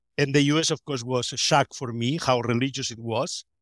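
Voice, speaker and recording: Speaking with a Spanish accent at a fairly high pitch and a moderate pace, a man comes through a very clean, silent-background recording with a dry, close sound and no echo. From Spain. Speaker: sociologist of religion. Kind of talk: academic interview.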